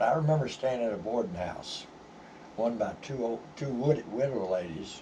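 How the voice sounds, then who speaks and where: A man's medium-pitched voice with an American accent at a moderate pace, with audible room echo and noticeable background noise. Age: 70s. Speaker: vlogger. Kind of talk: personal storytelling. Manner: halting, many fillers.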